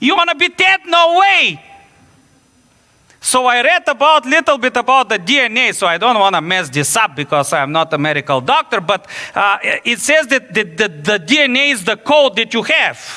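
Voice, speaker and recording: A man's raised, projected voice with a Bulgarian accent, extremely high pitch, very wide pitch swings and an animated tone. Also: moderate pace, dry, close sound with no echo. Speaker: pastor. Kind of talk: sermon. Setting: church.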